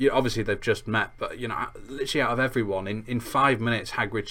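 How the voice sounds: The speaker uses a natural reading voice. It sounds like a natural reading voice throughout.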